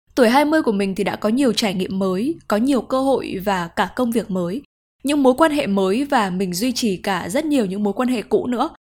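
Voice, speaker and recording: A woman with a plain, everyday voice talks at a fairly quick pace with hardly any pauses, a fairly high pitch and lively intonation on a very clean recording with a silent background. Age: 20s. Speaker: podcast host. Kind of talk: personal reflective monologue.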